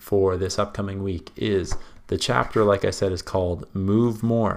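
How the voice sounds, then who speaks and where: An unremarkable speaking voice at a fairly slow pace. The intonation stays fairly even. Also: man. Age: 20s. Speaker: podcast host. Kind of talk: solo podcast monologue.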